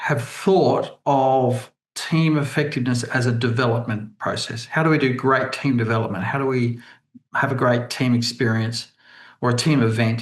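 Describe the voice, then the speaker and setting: A man with an Australian accent speaks at a moderate pace and medium pitch, his voice somewhat breathy, with ordinary pitch variation. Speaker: leadership team coach. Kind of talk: webinar presentation. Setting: video call. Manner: hesitant, many fillers.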